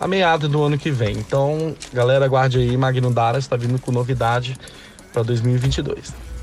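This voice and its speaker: Noticeable background noise runs under this man's voice. He talks at a moderate pace and medium pitch with fairly even intonation. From Espírito Santo, Brazil (Linhares). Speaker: singer. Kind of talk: interview.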